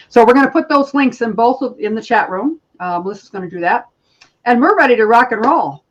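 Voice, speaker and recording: A woman speaks at a fairly quick pace. Her high voice has lively intonation. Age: 60s. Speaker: spiritual healer. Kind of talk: casual chat.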